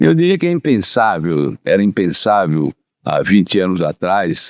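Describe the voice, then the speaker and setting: Lively intonation carries a man's very deep, low voice, recorded with a dry, close sound and no echo. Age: 80s+. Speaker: insurance executive. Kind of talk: interview. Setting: studio.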